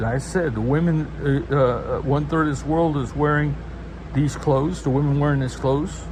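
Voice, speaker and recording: A man is heard over noticeable background noise, with audible room echo. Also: moderate pace. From US South, Low Country (coastal South Carolina/Georgia). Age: 70s. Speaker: pastor. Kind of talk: religious monologue. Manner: halting.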